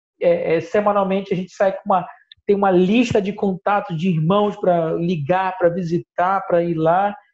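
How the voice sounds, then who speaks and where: A man speaks with fairly even intonation. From northern Brazil, Belém do Pará. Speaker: missionary. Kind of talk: interview. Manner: halting, with frequent fillers.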